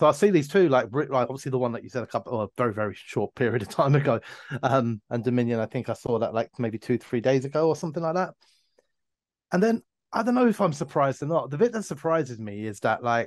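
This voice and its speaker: With lively intonation and a very fast pace, a man speaks over a quiet background. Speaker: podcast co-host. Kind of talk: casual podcast chat. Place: home room. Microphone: video call.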